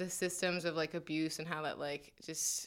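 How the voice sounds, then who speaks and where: A woman with an American accent and a very deep, low voice, bright and sharp in tone, at a moderate pace, on a very clean recording with a silent background. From New Jersey, suburb of New York City. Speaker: college radio co-panelist. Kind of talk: casual chat. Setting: studio.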